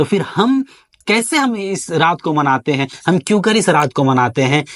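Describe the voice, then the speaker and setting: A man speaks at a high pitch that swings very widely. The sound is dry and close, with no echo. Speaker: Islamic scholar giving a religious talk. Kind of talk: Islamic sermon (bayan) to camera.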